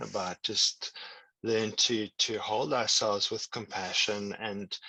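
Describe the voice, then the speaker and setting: A man speaks with a South African accent. The sound is dry and close, with no echo. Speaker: tantra and meditation teacher. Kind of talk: online workshop teaching. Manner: halting, repeats words.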